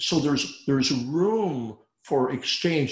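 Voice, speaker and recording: This man's voice is fairly high and somewhat breathy. He speaks at a very slow pace. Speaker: dentist turned speaker and consultant. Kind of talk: casual chat. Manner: broad expressive range.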